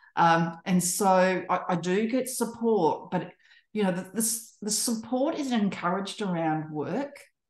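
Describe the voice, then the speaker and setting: A woman's somewhat breathy, medium-pitched voice at a fairly slow pace, with ordinary pitch variation. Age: 60s. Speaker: social enterprise co-founder. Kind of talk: panel discussion. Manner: halting, with frequent repetitions and fillers.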